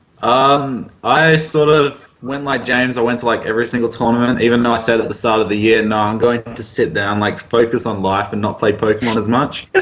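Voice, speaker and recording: A man with an Australian accent, medium pitch, fairly even intonation, a fairly quick pace and hardly any pauses. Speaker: card game player. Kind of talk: casual interview.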